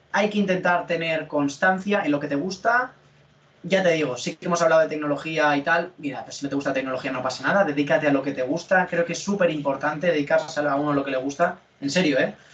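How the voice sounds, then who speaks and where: Over noticeable background noise, a man speaks at a very fast pace with a fairly high pitch and ordinary pitch variation. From Spain, Alicante area. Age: 20s. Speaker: cybersecurity content creator. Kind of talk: interview.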